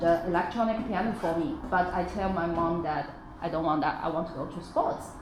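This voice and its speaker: The speaker talks in a Chinese accent with ordinary pitch variation. The audio has audible room echo and noticeable background noise. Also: woman. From China. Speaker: parent, former athlete. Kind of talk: workshop discussion. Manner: hesitant, with fillers.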